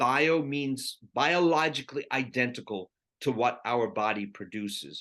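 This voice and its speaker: A man with a medium pitch and a bright, sharp tone talks at a fairly slow pace with lively intonation. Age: 60s. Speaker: physician. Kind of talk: interview. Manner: animated.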